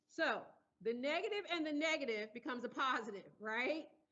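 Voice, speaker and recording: Loud and lively in intonation, a woman speaks at a high pitch and moderate pace. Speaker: engineering professor. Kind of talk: lecture.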